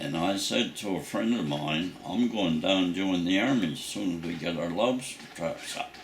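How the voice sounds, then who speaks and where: Amid noticeable background noise and audible room echo, a man in a Nova Scotian accent speaks with a very deep, low pitch and ordinary pitch variation. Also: moderate pace. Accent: rural Nova Scotian English. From Nova Scotia, Canada (south shore). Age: 90s. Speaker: war veteran. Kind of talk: oral history interview. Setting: at home.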